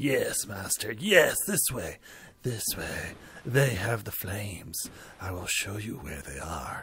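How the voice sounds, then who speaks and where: Putting on a character voice, a man speaks at a fairly slow pace and a medium pitch. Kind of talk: servile, eager.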